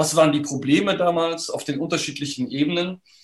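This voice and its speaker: With a normal speaking voice, a man talks at a moderate pace, his pitch fairly high and varying in an ordinary way. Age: 50s. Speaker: historian, professor, book author. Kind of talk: interview about his book. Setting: online video conversation.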